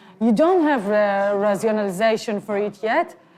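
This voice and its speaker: A woman with a non-native accent speaks at a moderate pace in a fairly high pitch. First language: not English. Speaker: filmmaker. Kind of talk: interview. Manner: halting.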